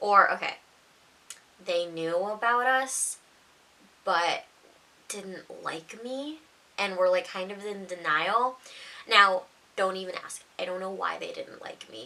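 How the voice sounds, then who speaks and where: A woman with a medium-pitched voice talks at a very slow pace, leaving long, frequent pauses over noticeable background noise. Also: ordinary pitch variation, big swings in loudness. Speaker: storytime youtuber. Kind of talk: casual storytelling. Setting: at home, mom sleeping next door. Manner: quieter than usual; naturally loud.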